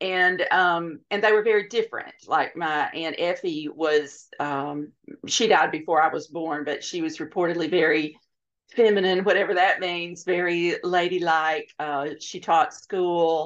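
Over a quiet background, a woman with an Alabama accent speaks at a fairly slow pace and a fairly low pitch. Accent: US Southern (Alabama). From rural Alabama. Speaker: novelist. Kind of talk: casual interview.

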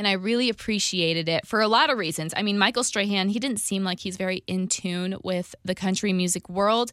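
A woman with a plain, everyday voice speaks at a medium pitch and a fairly quick pace with ordinary pitch variation and hardly any pauses, on a very clean recording with a silent background. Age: 20s. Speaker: radio host. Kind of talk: podcast monologue.

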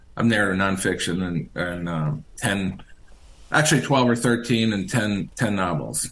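A fairly low-pitched man with an American accent, lively intonation and a moderate pace, with audible room echo. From Richmond, Virginia. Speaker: author and historian. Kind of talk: interview. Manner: hesitant, many fillers.

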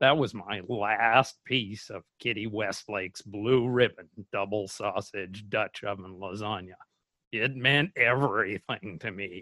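A man's bright, sharp voice at a fairly slow pace, dry and close with no echo. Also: fairly low pitch for a man, ordinary pitch variation. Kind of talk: scripted comedy mystery segment, dramatic reenactment. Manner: melodramatic, paranoid, overwrought.

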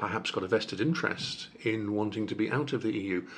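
His voice is a plain, everyday voice. The man's pitch sits fairly low and varies in an ordinary way. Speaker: newspaper reporter and podcast host. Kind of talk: interview conversation.

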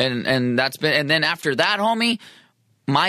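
At a moderate pace, a man speaks in a fairly high voice with lively intonation. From San Diego, California. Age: 40s. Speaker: musician. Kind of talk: casual chat. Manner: animated.

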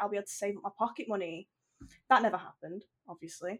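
At a very fast pace, a woman talks in a medium pitch. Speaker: video game writer. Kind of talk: casual chat.

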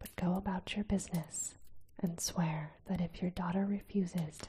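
The intonation stays fairly even as a person reads aloud in a natural voice.

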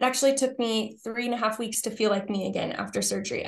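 Somewhat breathy, a woman's voice sits at a fairly high pitch. She speaks at a fairly quick pace. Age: 30s. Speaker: author and speaker. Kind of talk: podcast interview. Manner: animated.

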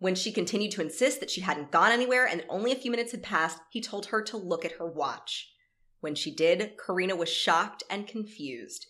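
Speaking at a fairly quick pace with lively intonation, a woman with an American accent has a medium pitch and an ordinary speaking voice. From North Florida. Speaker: podcast co-host. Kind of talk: reading aloud; casual chat. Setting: in person at own home.

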